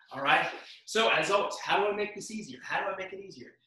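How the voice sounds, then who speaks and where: A man speaks in a high pitch against a quiet background. Audible room echo surrounds his voice. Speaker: fitness instructor. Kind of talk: workout instruction. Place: home room. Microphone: camera far.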